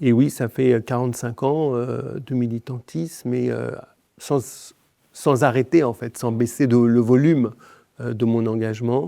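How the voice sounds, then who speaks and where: Over a quiet background, a man speaks with a dark, mellow tone and medium pitch. His pace is fairly slow and his intonation fairly even. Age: 60s. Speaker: activist leader. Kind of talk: podcast interview. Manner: hesitant with many fillers.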